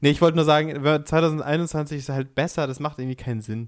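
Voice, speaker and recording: A plain, everyday voice moves at a fairly quick pace with fairly even intonation, in a dry, close sound with no echo. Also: man. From Upper Bavaria. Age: 20s. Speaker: podcast co-host, aspiring musical performer. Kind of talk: casual chat. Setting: Skype call.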